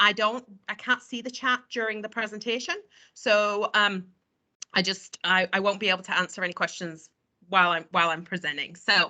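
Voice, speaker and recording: Her pace is fairly quick, with an American accent. This woman's pitch is medium, with ordinary pitch variation. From England. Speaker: travel company sales representative. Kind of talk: webinar presentation.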